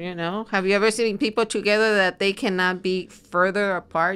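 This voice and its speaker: In a normal speaking voice, a woman of medium pitch talks at a moderate pace. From US, immigrated at 13. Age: 60s. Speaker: family and marriage therapist. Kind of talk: interview conversation.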